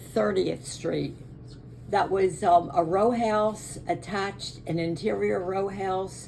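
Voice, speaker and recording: In a room with audible echo, a woman with an American accent speaks at a very slow pace. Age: 80s+. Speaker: interviewee recounting family memories. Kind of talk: family oral history interview. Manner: halting, with frequent fillers.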